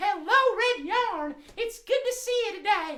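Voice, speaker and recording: Squeaky and extremely high-pitched, this put-on character voice has a cheerful tone and a fairly slow pace. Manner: cheerful, friendly.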